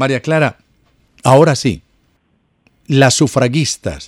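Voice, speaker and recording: The speech moves at a fairly slow pace, with a dry, close sound and no echo. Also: man. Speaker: radio host. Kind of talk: radio interview. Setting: radio studio. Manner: animated.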